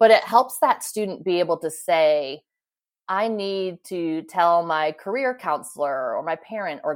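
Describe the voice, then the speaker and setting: Recorded very cleanly against a silent background, a woman with a normal speaking voice talks at a fairly low pitch with ordinary pitch variation. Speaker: startup co-founder. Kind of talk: casual interview.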